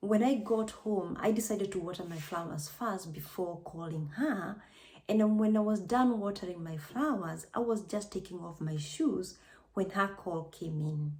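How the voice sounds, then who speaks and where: In a Kenyan accent, a woman speaks at a moderate pace and medium pitch, somewhat breathy, with ordinary pitch variation and audible room echo. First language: Kikuyu. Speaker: vlogger, nurse. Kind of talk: personal testimony vlog.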